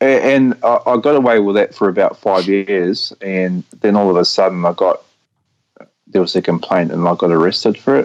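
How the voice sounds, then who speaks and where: Loudness stays very even as a man speaks at a moderate pace in a New Zealand accent. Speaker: caller. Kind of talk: call-in interview. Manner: halting, repetitive stammering.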